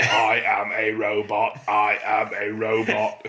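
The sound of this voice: Using a put-on character voice, a man talks at a fairly slow pace.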